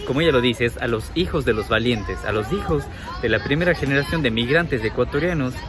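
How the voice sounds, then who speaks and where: Over music in the background, a man talks at a very fast pace with very wide pitch swings. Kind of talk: casual talk to camera.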